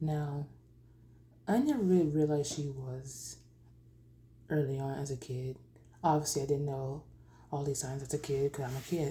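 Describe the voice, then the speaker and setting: A woman speaks in a very deep, low pitch with a dark, mellow, somewhat breathy tone. Her pace is moderate and her intonation fairly even, broken by long, frequent pauses. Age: 20s. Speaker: vlogger sharing personal story. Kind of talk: personal testimony. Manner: halting.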